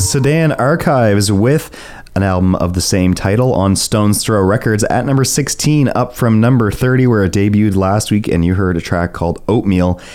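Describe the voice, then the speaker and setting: A man talks at a moderate pace in a normal speaking voice, fairly low in pitch with ordinary pitch variation. His loudness stays very even, and he hardly pauses at all. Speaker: radio co-host. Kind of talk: radio dj patter. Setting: studio. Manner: easygoing, conversational.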